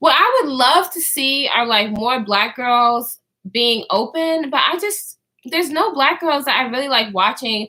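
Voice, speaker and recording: A bright, sharp tone comes through in this raised, projected voice. The pace is moderate. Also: woman. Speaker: YouTuber vlogger. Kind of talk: casual livestream chat. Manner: halting with many fillers.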